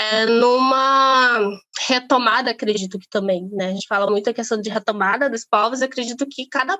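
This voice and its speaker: Pitch moves in an ordinary way while the speech keeps to a moderate pace. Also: woman. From Brazil, Amazonas. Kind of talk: interview conversation. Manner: halting, many fillers.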